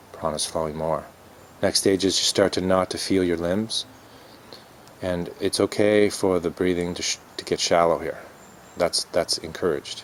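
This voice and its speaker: Mumbling in a monotone, a man with a very deep, low pitch talks at a moderate pace, broken by long, frequent pauses. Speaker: yoga and dharma teacher. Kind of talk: dharma talk. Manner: halting, many fillers.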